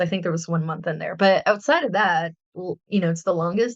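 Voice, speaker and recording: A woman speaks with a Spanish accent and ordinary pitch variation. The sound is dry and close, with no echo. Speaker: artist and podcast host. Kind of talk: casual chat.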